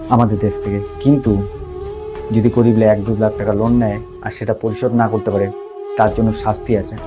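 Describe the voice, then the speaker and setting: With music in the background, a man talks at a fairly low pitch in a monotone, flat intonation. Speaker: motivational speaker. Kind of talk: motivational speech.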